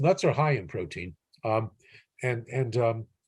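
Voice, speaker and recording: A man with an American accent talks at a fairly quick pace. His voice is somewhat breathy, with lively intonation. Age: 60s. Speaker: physician. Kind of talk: interview. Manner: halting, many repetitions and fillers.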